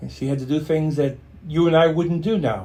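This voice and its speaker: Fairly quick and fairly high-pitched, a man talks in a dark, mellow, somewhat breathy tone. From born in Stuttgart, Germany, raised in a US Army family. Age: 60s. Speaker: interview guest, client and friend of host. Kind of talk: casual interview conversation. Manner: halting, with repetitions and fillers.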